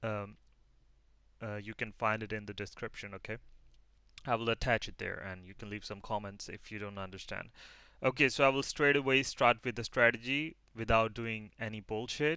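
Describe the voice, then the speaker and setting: A man with a non-native accent, medium pitch and a bright, sharp tone, at a moderate pace with fairly even intonation and big swings in loudness, in a very clean recording with a silent background. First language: not English. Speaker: forex trader teaching a strategy. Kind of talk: tutorial. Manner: halting, many fillers.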